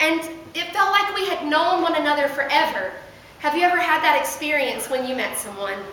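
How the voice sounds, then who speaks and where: A woman's raised, projected voice, high in pitch and lively in intonation, at a fairly quick pace over noticeable background noise. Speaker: pastor. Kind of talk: sermon delivered to a congregation.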